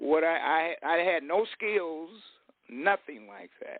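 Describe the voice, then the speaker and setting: With an American accent, a man talks at a fairly high pitch. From US West, Fresno, California. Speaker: retired real estate and business speaker. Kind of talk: interview on online radio show. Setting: online radio show.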